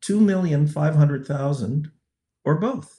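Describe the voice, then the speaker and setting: Somewhat breathy, a man's voice moves with lively intonation. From Canada. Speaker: sociology professor and researcher on violence against women. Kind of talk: interview.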